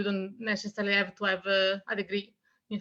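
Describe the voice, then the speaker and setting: Bright and sharp in tone, the speech moves along fairly quickly. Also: woman. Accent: Italian. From Italy. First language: Italian. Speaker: author. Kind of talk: interview.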